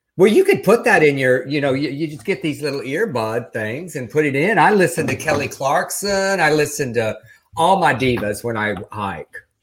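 Here a man speaks at a moderate pace with a fairly high pitch and a somewhat breathy voice. His tone is animated and his intonation lively. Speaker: podcast host. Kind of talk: casual chat. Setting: Los Angeles.

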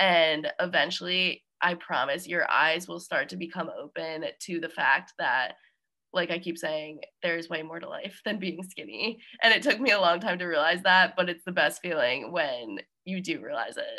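A woman with an American accent has a normal speaking voice, fairly low pitch, ordinary pitch variation and a moderate pace. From New Jersey. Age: 20s. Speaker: graduate student and fitness organization trainer. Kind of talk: interview conversation.

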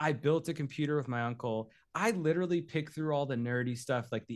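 Lively in intonation and very fast, a man talks in a fairly high voice. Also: quiet background. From New Hampshire. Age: 30s. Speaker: content creator. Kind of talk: casual chat.

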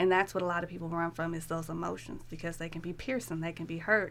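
Talking at a very fast pace, a woman uses a fairly low pitch with vocal fry. Her intonation stays fairly even. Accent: American. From Seattle. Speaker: clinical psychologist. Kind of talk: interview.

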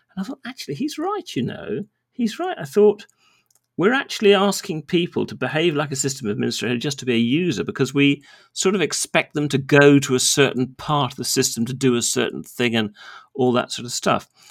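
Speech with lively intonation comes at a fairly quick pace with a southern English accent. The sound is dry and close with no echo, on a very clean recording with a silent background. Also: man, fairly high pitch for a man. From England. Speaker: database developer, former lawyer. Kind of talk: casual interview chat.

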